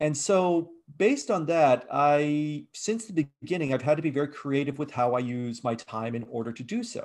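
A man's normal speaking voice, fairly high in pitch, with an American accent, lively intonation and a moderate pace. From Virginia, US, raised partly abroad. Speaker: game design professor and game studio founder. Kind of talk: interview.

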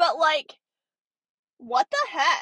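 Her raised, projected voice sits high for a woman, moving at a moderate pace with an animated tone in a dry, close sound with no echo. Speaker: podcast host. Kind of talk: casual chat. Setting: in a car.

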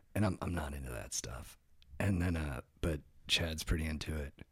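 Vocal fry marks this voice with an American accent, heard in a very clean recording with a silent background. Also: man. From Orange County, California. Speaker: podcaster and comedian. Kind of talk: casual chat.

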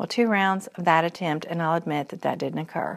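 In a Kentucky accent, a woman talks at a fairly quick pace on a very clean recording with a silent background. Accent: Kentucky Southern US. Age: 40s. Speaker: podcaster. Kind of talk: personal reflective monologue.

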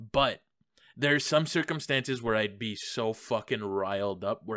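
An unremarkable speaking voice moves at a moderate pace with ordinary pitch variation, recorded very cleanly over a silent background. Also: man, dry, close sound with no echo. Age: young. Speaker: podcast host. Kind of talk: casual chat.

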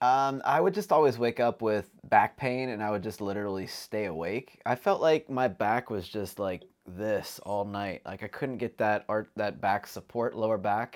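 A man with an ordinary speaking voice talks at a moderate pace and fairly low pitch with ordinary pitch variation and hardly any pauses, in a very clean recording with a silent background. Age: 30s. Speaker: long-distance hiker and vlogger. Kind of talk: casual chat.

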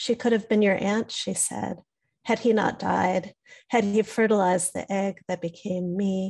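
A woman speaks at a fairly slow pace, her medium-pitched, somewhat breathy voice held to a flat monotone. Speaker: poet and teacher. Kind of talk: poetry reading and discussion.

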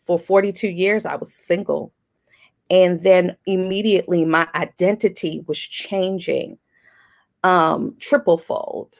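With an unremarkable speaking voice, a woman speaks at a medium pitch and a fairly slow pace, her intonation fairly even, on a very clean recording with a silent background. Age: 40s. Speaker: professor and coach. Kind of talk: interview testimony.

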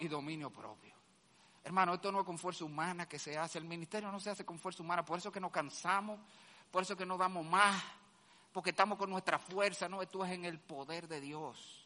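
A man with a high-pitched voice talks loudly at a fairly quick pace, his tone bright, sharp and animated. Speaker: pastor. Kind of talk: sermon. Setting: church.

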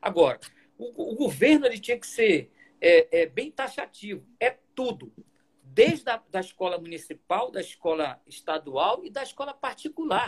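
Swinging very widely in pitch, a man with an extremely high voice speaks at a moderate pace in a dry, close sound with no echo. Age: 60s. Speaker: basketball coach and professor. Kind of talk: interview. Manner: halting, many repetitions.

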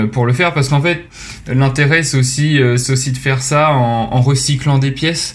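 A man at a medium pitch talks in a monotone, flat way at a moderate pace, with audible room echo and noticeable background noise. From Normandy, France (Rouen). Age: 20s. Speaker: business school student and startup founder. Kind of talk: podcast interview. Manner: hesitant, frequent repetitions and fillers.

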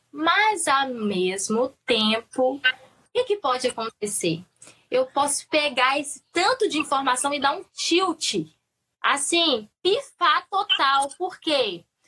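A woman's high, bright, sharp voice in a Minas Gerais accent, raised and projected, with very wide pitch swings and a very slow pace. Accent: Minas Gerais Brazilian Portuguese, noticeable. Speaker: perinatal psychologist. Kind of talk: casual chat. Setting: online live stream.

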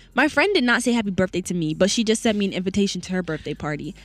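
A woman speaks very fast at a medium pitch while music plays in the background. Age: 20s. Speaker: college radio host. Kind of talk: casual chat; news reading. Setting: radio studio.

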